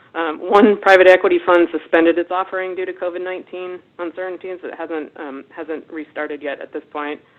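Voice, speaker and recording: A woman with a US East Coast accent talks at a fairly quick pace with hardly any pauses. Her fairly low voice keeps fairly even intonation but swings widely in loudness. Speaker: webinar presenter, investment research director. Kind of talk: webinar presentation. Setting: webinar. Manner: fast.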